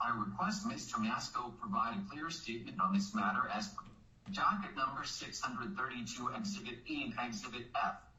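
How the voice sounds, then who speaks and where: A man talks at a fairly quick pace with a fairly high pitch and very wide pitch swings. Room echo is audible, and background noise is noticeable. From Iran. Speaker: claimant in bankruptcy case. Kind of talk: court hearing statement. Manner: formal.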